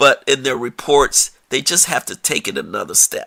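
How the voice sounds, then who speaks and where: In an American accent, a raised, projected voice with a bright, sharp, animated tone moves at a moderate pace, the sound dry and close with no echo. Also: man. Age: 60s. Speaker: podcast host, public health researcher. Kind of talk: solo podcast commentary.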